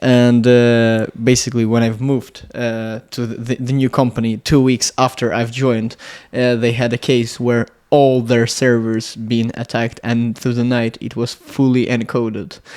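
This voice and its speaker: Keeping a moderate pace, a man with a Russian accent speaks with monotone, flat intonation. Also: medium pitch for a man. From Latvia. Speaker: electronics engineer. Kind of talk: casual interview chat. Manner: halting, many fillers.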